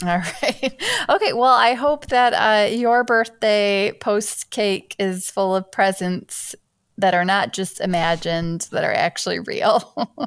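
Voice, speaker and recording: Speaking very slowly with an Upper Midwest accent, a woman holds a medium pitch with ordinary pitch variation. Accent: Upper Midwest American. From Michigan. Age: 30s. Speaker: teacher and podcast host. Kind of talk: casual chat.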